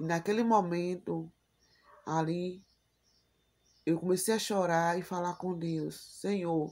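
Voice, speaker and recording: A woman speaks at a very slow pace with long, frequent pauses. Her fairly low voice stays monotone and flat. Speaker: YouTuber. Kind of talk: personal vlog.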